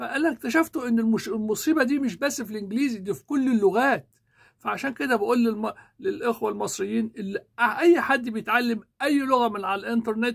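A man with an Egyptian accent at an extremely high pitch, animated in tone, against a quiet background. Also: ordinary pitch variation, moderate pace. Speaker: YouTuber and English teacher; political commentator. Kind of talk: political commentary monologue. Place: home room. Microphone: lapel.

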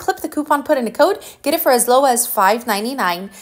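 A woman speaks in an upbeat tone with very wide pitch swings. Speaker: deal-sharing video host. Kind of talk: rapid-fire sales pitch, pitchman-style deal rundown. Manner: brisk, upbeat, urgent; chatty, friendly, directly addressing viewers.

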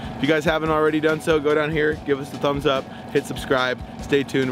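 Very fast speech from a man, with ordinary pitch variation, dry with no echo, against noticeable background noise. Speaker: fishing guide, show host. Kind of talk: casual vlog intro. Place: boat.

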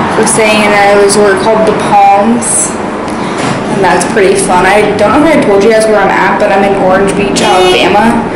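A woman at a fairly slow pace, with loud background noise and audible room echo. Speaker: vlogger. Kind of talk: casual vlog chat. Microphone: phone near.

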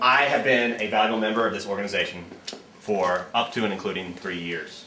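In a room with audible echo and light background noise, a man with a fairly low pitch speaks at a moderate pace. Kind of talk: comedic mockumentary interview. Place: office.

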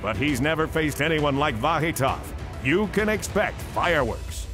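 A man speaks at a moderate pace with a fairly high pitch and lively intonation. Music plays in the background. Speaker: ring announcer. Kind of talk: sports promo voiceover.

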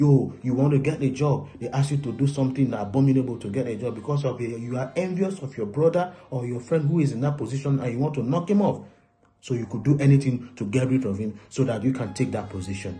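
A man speaks at a very fast pace with ordinary pitch variation. His voice is somewhat breathy. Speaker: relationship preacher. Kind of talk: sermon. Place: home room. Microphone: phone near.

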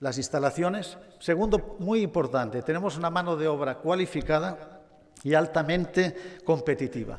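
With an ordinary speaking voice, a man talks at a moderate pace and a fairly high pitch, with ordinary pitch variation. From Spain, Barcelona. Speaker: automotive executive. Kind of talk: award acceptance speech. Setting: stage with audience.

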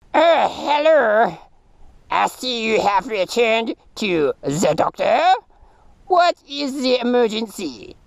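A cartoonish character voice from a man, extremely high in pitch, delivered at a very slow pace with long, frequent pauses. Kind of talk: comic puppet voice, put-on foreign doctor. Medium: puppet show. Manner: formal, earnest, avoids contractions. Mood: calm clinical examination.

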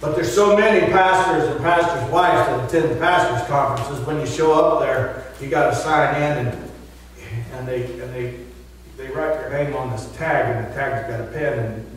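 Amid strong room echo and light background noise, a man speaks with big swings in loudness and ordinary pitch variation. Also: moderate pace. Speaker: pastor. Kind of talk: sermon. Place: church.

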